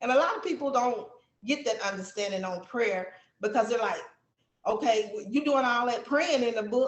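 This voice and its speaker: Someone with an American accent speaks at a moderate pace with lively intonation. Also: woman. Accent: country accent, strong. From Texas. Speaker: book author. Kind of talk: interview.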